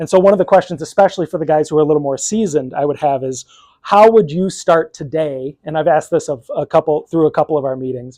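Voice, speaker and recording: Someone speaks at a very fast pace against a quiet background. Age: young. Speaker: piano technician leading a chapter meeting. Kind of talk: casual meeting talk.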